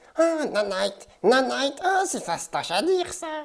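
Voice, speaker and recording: A high-pitched, cartoonish character voice makes very wide pitch swings. It moves at a moderate pace. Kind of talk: English lesson for French speakers. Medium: puppet.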